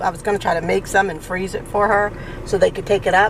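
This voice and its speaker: Speaking in an angry tone, a woman uses a medium pitch at a very fast pace. Noticeable background noise sits behind her. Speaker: vlogger. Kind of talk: casual vlog monologue. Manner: sounds angry, tense tone; anxious, sharp delivery.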